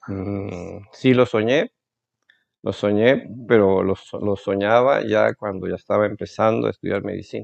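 At a fairly slow pace, a man with a fairly low pitch speaks with fairly even intonation. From Veracruz, Mexico. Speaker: ophthalmologist. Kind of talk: interview. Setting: doctor's office. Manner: halting.

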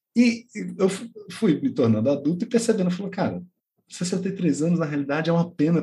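This man's voice sits high in pitch, with a dark, mellow tone. His intonation is lively and his pace fairly quick. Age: 40s. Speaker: podcast co-host, teacher. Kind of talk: casual chat.

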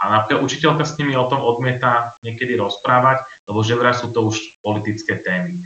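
At a fairly quick pace, the speaker's pitch varies in an ordinary way amid audible room echo. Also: man, medium pitch for a man. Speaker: youth council director. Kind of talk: interview answers.

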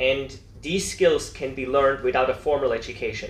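A man's voice with audible room echo. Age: 40s. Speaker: entrepreneur. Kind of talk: interview.

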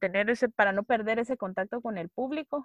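In a Guatemalan accent, a woman speaks at a fairly high pitch with ordinary pitch variation, in a dry, close sound with no echo over a quiet background. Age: 20s. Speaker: actress and theatre director. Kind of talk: casual chat.

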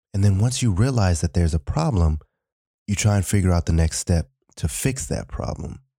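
A dark, mellow, somewhat breathy voice with lively intonation, in a very clean recording with a silent background. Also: man, dry, close sound with no echo. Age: 20s. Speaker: podcast host. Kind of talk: solo podcast monologue.

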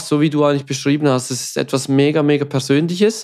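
Someone with a Swiss German accent speaks at a fairly quick pace on a very clean recording with a silent background. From Switzerland. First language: Swiss German (speaking German). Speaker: podcast co-host. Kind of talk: casual chat.

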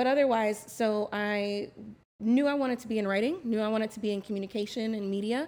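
A woman's fairly high pitch with fairly even intonation. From Florida (West Palm Beach). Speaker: marketing and public relations professional. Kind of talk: casual chat.

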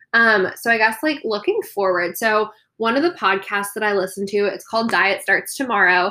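With an American accent, this voice has a bright, sharp tone, ordinary pitch variation and a moderate pace. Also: woman, fairly high pitch for a woman. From Coronado, California. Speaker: podcast co-host. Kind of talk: casual chat.

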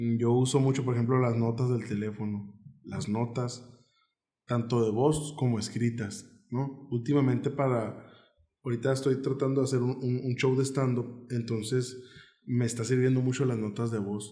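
A man's somewhat breathy voice at medium pitch, dark and mellow in tone, with monotone, flat intonation and audible room echo. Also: moderate pace. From Mexico, Nogales, Sonora. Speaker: comedian. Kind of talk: casual chat.

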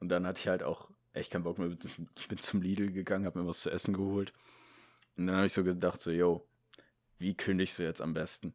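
On a very clean recording with a silent background, a man with a very deep, low pitch talks very fast yet leaves long, frequent pauses. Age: young (18). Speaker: podcast co-host. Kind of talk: casual chat. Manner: animated, frequent laughter.

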